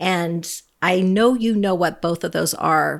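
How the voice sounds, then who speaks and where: A woman with an ordinary speaking voice, fairly low in pitch with ordinary pitch variation, at a fairly slow pace in a very clean recording with a silent background. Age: 50s. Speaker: podcast co-host. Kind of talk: casual chat.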